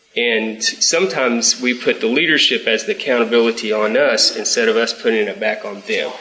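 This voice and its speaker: Noticeable background noise surrounds this man as he talks at a moderate speed. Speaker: class member. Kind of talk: group discussion comment.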